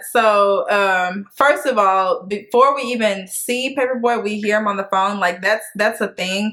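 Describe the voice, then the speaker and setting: A woman's normal speaking voice at a fairly slow pace with hardly any pauses. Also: fairly high pitch for a woman, fairly even intonation. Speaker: TV show recap youtuber. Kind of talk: casual chat.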